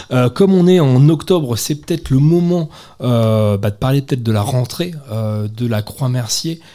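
A man speaks with a normal speaking voice at medium pitch. His pace is fairly slow and his intonation lively. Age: 20s. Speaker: community radio host. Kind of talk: casual chat; scripted chronicle reading. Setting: on location at a community centre.

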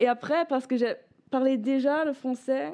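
A woman with a German accent speaks very slowly in a high voice with a dark, mellow tone. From northern Germany, Bremen. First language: German (speaking French). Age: 20s. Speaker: former European volunteer, law student. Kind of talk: radio interview. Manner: halting, searching for words.

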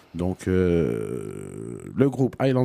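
A man speaks at a very slow pace in a dark, mellow tone. His pitch swings very widely. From Brussels, Belgium. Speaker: radio host. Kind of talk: casual radio chat.

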